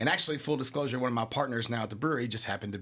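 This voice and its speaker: His pitch moves up and down in an ordinary way. The man has an American accent. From Kentucky, Scott County. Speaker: craft brewery co-founder. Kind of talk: casual interview. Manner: animated.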